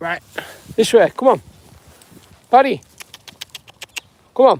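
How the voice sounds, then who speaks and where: A British accent is heard. It comes from a man. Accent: UK. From northwest England. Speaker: self-help vlogger. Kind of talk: live stream chat. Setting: outdoors. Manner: halting.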